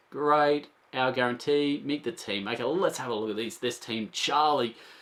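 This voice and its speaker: A man in an Australian accent speaks at a medium pitch and a moderate pace with ordinary pitch variation. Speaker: board game reviewer. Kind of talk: casual video review. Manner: animated.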